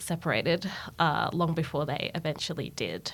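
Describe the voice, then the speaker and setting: A woman's very deep, low voice with vocal fry, on a very clean recording with a silent background. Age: 20s. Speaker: podcast guest sharing lived experience. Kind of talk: personal testimony in interview. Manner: hesitant, many fillers.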